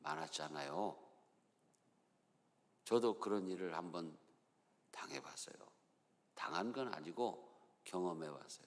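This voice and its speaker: There is audible room echo as a man speaks with a Chungcheong accent at a very slow pace. His pitch is very deep and low, and his intonation is lively. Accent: Chungcheong tone even without dialect words. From Chungcheong, Korea. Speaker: pastor. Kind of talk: sermon.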